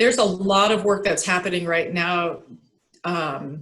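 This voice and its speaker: The woman has a normal speaking voice with a medium pitch. She keeps a moderate pace. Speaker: urban refuge coordinator. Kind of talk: presentation and discussion in board meeting.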